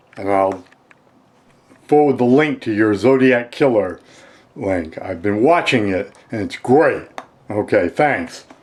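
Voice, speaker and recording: Amid noticeable background noise, a man at a medium pitch talks very slowly with lively intonation and long, frequent pauses. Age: 60s. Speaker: amateur true crime theorist. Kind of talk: casual video message. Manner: halting.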